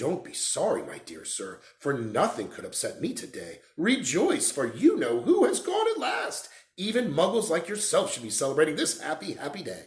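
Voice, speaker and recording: A man puts on a squeaky character voice, pitched high for a man, and talks at a moderate pace. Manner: joyful, delighted.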